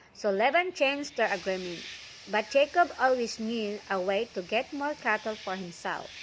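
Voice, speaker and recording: Speaking with a non-native accent, a woman uses a fairly high pitch. Her intonation is lively and her pace moderate. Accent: non-native English accent from mother tongue. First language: not English. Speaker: vlogger reading Bible stories. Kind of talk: reading aloud; casual talk to viewers. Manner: hesitant, with fillers.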